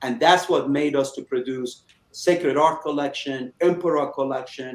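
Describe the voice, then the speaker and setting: Here is a man with a plain, everyday voice. His pitch is fairly high, with ordinary variation, and his pace is moderate. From Iran, moved to Chicago at 13. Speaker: cigar company owner, former auto executive. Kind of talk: interview.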